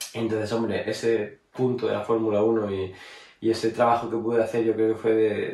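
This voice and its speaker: The voice is somewhat breathy and monotone, with flat intonation. Room echo is audible. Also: man. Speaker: racing driver. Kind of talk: personal retrospective monologue. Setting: at home.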